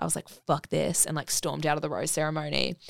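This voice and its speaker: A woman with an Australian accent has a very deep, low pitch and a bright, sharp tone, in a very clean, dry and close recording with no echo and a silent background. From Brisbane, Australia. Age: 20s. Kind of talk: casual chat. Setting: studio.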